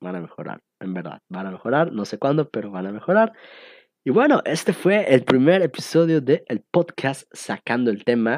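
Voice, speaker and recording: Over a very clean recording with a silent background and a dry, close sound with no echo, a man talks at a moderate pace in a medium pitch with very wide pitch swings. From Mexico (born State of Mexico, raised partly in Cancún and Costa Rica). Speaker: podcast host. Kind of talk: solo casual monologue. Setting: at home.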